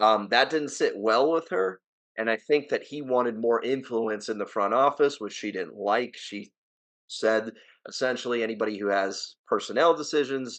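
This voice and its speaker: An American-accented man talks at a moderate pace in a medium-pitched voice. His tone is animated, with ordinary pitch variation. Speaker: sports podcast host. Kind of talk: casual chat.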